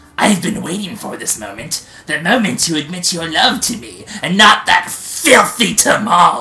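Someone puts on a character voice at a middle pitch and keeps a moderate pace. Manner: menacing, possessive, theatrical.

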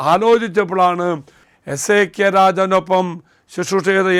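A man's high-pitched voice on a very clean recording with a silent background. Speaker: priest. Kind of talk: sermon.

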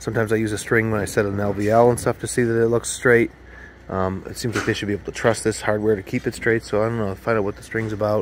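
Very fast speech comes from a man over light background noise. The sound is dry with no echo. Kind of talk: casual vlog chat. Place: garden. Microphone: phone near.

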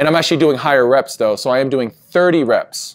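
The pace is fairly quick. The background is quiet. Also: man. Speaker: fitness coach. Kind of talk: casual vlog chat. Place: gym.

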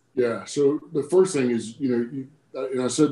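A man with an American accent speaks at a medium pitch in a dark, mellow tone. His pitch varies in an ordinary way, with audible room echo. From US South, South Carolina (Woodruff); South Carolina. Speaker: army general; guest. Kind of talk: casual interview. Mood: warm, reflective, motivational. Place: office. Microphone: video call.

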